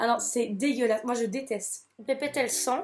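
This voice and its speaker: A woman speaks at a fairly slow pace. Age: 20s. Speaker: nursing student. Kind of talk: casual talk to camera.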